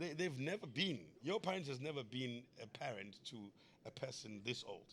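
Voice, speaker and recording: A loud man at medium pitch, moderate in pace, with very wide pitch swings. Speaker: comedian. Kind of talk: podcast conversation.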